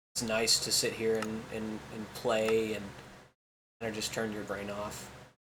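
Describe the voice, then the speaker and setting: A man's fairly low, bright, sharp voice with an American accent, monotone and flat in intonation, at a fairly slow pace, with audible room echo. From Kansas. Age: 20s. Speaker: gaming YouTuber. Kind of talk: casual gameplay commentary. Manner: halting, many filler ums; chatty.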